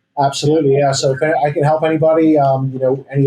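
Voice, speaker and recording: A man in an English accent speaks at a very fast pace. His voice is fairly high in pitch with a dark, mellow tone. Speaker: real estate agent. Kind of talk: podcast interview.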